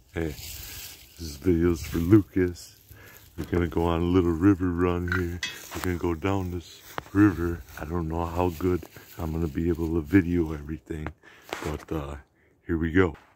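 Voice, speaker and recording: The sound is dry with no echo and light background noise. A man with a very deep, low pitch talks at a moderate pace in a monotone, flat intonation. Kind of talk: casual vlog chat. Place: waterside. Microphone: phone near.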